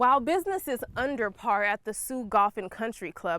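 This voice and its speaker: A woman with an American accent speaks at a moderate pace, her intonation lively and her pitch fairly high. She has a plain, everyday voice, and the sound is dry and close with no echo. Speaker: television news reporter. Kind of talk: TV news reporter delivery.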